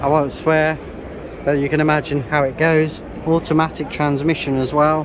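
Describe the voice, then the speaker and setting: Monotone, flat intonation from a man with a British accent, noticeable background noise behind him. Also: moderate pace. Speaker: classic vehicle vlogger. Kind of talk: casual walkthrough vlog. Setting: busy exhibition hall at a classic car show.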